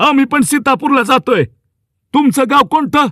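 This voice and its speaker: A man does a put-on character voice, pitched extremely high and moving at a fairly slow pace. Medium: read story. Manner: rustic, homely.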